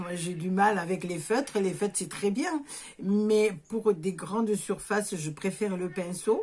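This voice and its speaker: A woman's medium-pitched voice in a southern French accent, fairly slow, with ordinary pitch variation and noticeable background noise. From southern France, near Béziers, Hérault. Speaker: visual artist, scrapbooker. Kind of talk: casual craft tutorial talk to camera.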